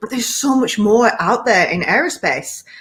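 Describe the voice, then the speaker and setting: The speaker is a woman with a British accent. She talks at a fairly quick pace. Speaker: executive coach. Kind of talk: panel discussion.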